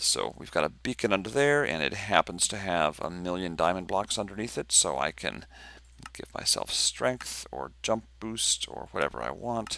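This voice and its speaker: A man's very deep, low voice, bright and sharp in tone, with vocal fry and very wide pitch swings, on a very clean recording with a silent background. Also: moderate pace. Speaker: game mod developer. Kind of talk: tutorial. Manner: casual, hesitant.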